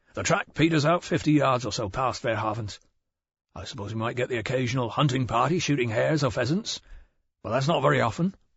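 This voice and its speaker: A man does a put-on character voice, raspy and at medium pitch. He talks very fast with ordinary pitch variation. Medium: read story. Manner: abrupt, terse.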